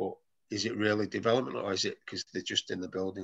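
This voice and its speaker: A man speaks with a strong Mancunian accent. The sound is dry and close with no echo, against a quiet background. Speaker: football academy manager. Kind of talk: presentation talk on video call.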